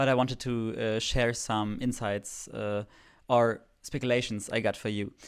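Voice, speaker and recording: In a German accent, a man of medium pitch speaks at a moderate pace with monotone, flat intonation on a very clean recording with a silent background. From Germany. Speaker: fan video creator. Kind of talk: casual vlog commentary. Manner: hesitant, many filler words.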